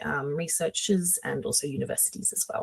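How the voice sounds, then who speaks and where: With an Australian accent, a woman speaks at a fairly quick pace, medium in pitch and somewhat breathy. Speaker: company webinar presenter. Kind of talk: webinar presentation. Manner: hesitant, many filler sounds.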